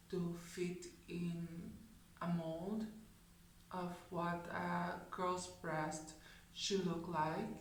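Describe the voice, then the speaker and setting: A woman speaks at a fairly low pitch in a flat monotone, very slowly and with long, frequent pauses. Audible room echo surrounds her voice. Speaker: video blogger. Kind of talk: personal vlog talk.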